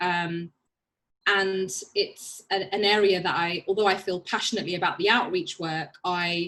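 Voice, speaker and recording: This woman has a medium-pitched, bright and sharp voice with a Birmingham accent, speaking at a moderate pace with fairly even intonation. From England, Birmingham. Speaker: barrister. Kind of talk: panel talk.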